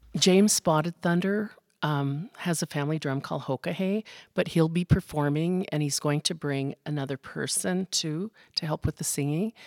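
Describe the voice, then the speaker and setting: In an American accent, a woman speaks at a moderate pace with ordinary pitch variation. Her very deep, low voice has a dry, close sound with no echo. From Montana, Fort Peck Reservation (Wolf Point). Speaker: school social worker. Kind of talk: school podcast interview. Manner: hesitant, many fillers.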